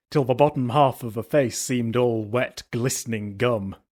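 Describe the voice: It is plain reading aloud.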